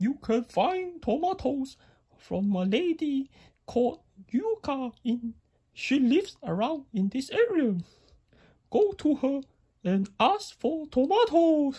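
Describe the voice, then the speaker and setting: A female-sounding, high-pitched cartoonish character voice with very wide pitch swings, a fairly slow pace and long, frequent pauses. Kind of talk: mock-solemn oracle speech. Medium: puppet show. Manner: grave, paternal, slow.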